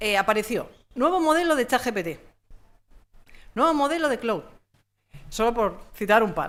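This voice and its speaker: With a very wide pitch swing and an animated tone, a woman with a fairly high voice speaks in long, frequent pauses on a very clean recording with a silent background. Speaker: communication consultant and trainer. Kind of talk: conference talk. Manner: fast.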